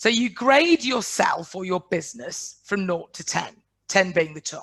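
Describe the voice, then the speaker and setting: Over a quiet background, a woman with a northern English accent speaks at a fairly slow pace with very wide pitch swings. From northwest England. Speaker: business coach. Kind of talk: webinar presentation. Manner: blunt.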